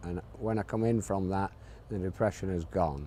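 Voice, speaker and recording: Here a man speaks at a very deep, low pitch. His pitch variation is ordinary. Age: 60s. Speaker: cancer patient. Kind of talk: testimony. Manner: halting, with repetitions.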